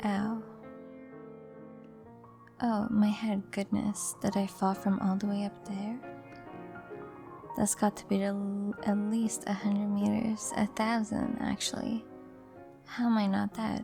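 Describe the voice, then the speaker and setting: Soft-spoken and relaxed in tone, the voice moves at a very slow pace with long, frequent pauses. Music plays behind it. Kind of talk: soft-spoken gameplay commentary for sleep. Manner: soft-spoken, relaxed.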